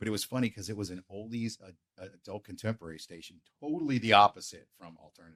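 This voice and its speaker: Dry and close with no echo, a man with an American accent talks at a very fast pace in an animated tone. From western Pennsylvania (Beaver). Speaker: radio program director. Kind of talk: casual interview chat.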